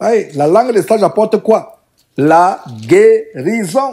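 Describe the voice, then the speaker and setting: A man speaks here. His tone is dark and mellow. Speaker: preacher. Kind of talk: sermon, Bible study teaching. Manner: earnest, didactic, exhorting; formal, solemn, repeating phrases for emphasis.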